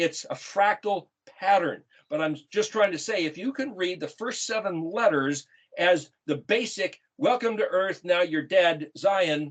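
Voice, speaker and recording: A man speaks in an animated tone, his voice pitched high for a man and his intonation lively. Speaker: bible teacher. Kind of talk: bible teaching.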